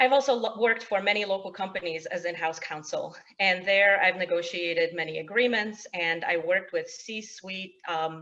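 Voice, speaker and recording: A woman with a Polish accent talks at a moderate pace, with hardly any pauses. Her medium pitch shows ordinary variation. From Poland, then US Midwest (Illinois suburbs) from age eleven. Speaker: state representative candidate. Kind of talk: opening statement at candidate forum. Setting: virtual webinar forum. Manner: frequent filler words (um, uh).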